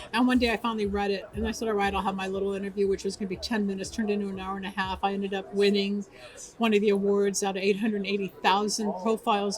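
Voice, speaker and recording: Over noticeable background noise, a woman with a medium pitch races along at a very fast pace, with hardly any pauses and fairly even intonation. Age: 70s. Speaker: metaphysician and radio talk show host. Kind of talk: interview. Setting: awards event carpet interview.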